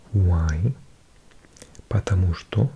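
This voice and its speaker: A whisper moves at a very slow pace. Background noise can be clearly heard. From Wales. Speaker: ASMR creator. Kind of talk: ASMR language-learning read. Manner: whispered; soft-spoken.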